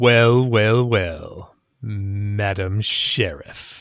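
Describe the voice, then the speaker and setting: A man puts on a character voice, pitched fairly low, with ordinary pitch variation. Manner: theatrical, sinister.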